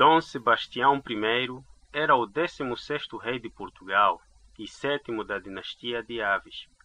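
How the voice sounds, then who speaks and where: A man speaks in a plain, everyday voice at a fairly slow pace. His pitch sits in the medium range with ordinary variation. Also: big swings in loudness. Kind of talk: read-aloud sentence.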